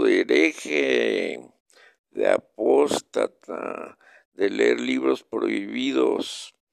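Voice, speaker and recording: Recorded in a dry, close sound with no echo, a man speaks at a very slow pace. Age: 70s. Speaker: local chronicler broadcaster. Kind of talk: reading aloud.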